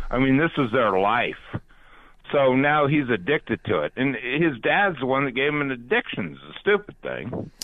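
A man's medium-pitched, normal speaking voice at a moderate pace, with lively intonation. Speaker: caller. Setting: phone call.

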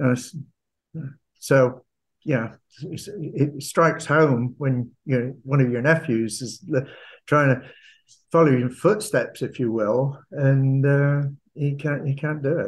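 A man's somewhat breathy voice in a Cornish accent, very slow, with ordinary pitch variation and long, frequent pauses. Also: fairly high pitch for a man. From Cornwall, England (Camborne). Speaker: retired mining executive and author. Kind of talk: interview.

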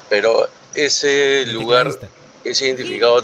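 A man's voice over noticeable background noise. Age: 40s. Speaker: radio show caller. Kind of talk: anecdote told to radio show.

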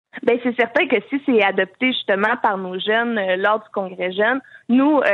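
A woman with a fairly high pitch, ordinary pitch variation and an unremarkable speaking voice. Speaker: youth political wing president. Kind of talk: radio interview.

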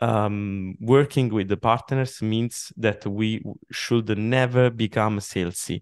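In an Italian accent, a man speaks very slowly at a medium pitch with ordinary pitch variation. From Italy. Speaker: software company CEO. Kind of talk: interview. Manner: halting, many fillers.

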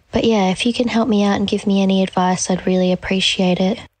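A woman with an Australian accent talks at a fairly quick pace in a fairly low pitch. Her intonation stays fairly even. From Gold Coast, Australia. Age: 20s. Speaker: listener asking for advice. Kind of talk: voice memo. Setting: recorded voice memo.

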